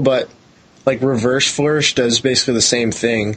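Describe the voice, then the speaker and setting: A man is speaking here. His pitch is medium and his pace is moderate. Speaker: online game player. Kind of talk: casual chat.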